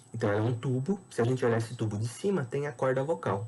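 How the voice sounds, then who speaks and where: The voice is a man's, medium in pitch and somewhat breathy. He speaks at a moderate pace. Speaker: biology teacher. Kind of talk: lecture.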